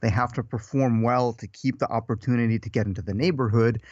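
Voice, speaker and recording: A man with an American accent speaks at medium pitch against a quiet background. He has an ordinary speaking voice. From Russia, moved to US young. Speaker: professional acrobat and movement teacher. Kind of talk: casual podcast interview. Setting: podcast.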